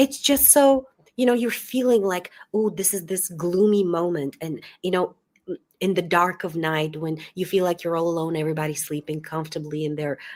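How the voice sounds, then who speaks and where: A woman with a Bulgarian accent and a fairly low pitch talks at a moderate pace. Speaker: book channel host. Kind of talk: live-stream book discussion. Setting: video call. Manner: hesitant, many fillers.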